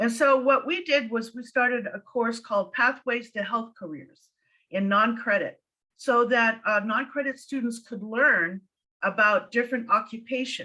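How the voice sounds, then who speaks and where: This woman with an American accent has a fairly high pitch and a bright, sharp tone. She speaks at a moderate pace with ordinary pitch variation and big swings in loudness. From USA. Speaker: noncredit educator. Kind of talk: panel discussion. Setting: webinar.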